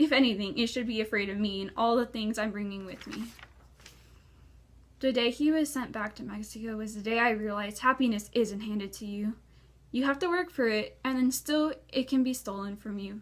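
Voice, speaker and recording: A woman speaks in a normal speaking voice at a fairly high pitch and a fairly quick pace, with big swings in loudness. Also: ordinary pitch variation. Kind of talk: slam poetry performance.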